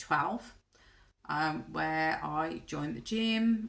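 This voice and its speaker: The speaker has a Brummie accent. The pace is very slow. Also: woman. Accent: Birmingham (Brummie). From Birmingham, English Midlands. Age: 50s. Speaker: vlogger. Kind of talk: casual vlog monologue. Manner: hesitant, many ums.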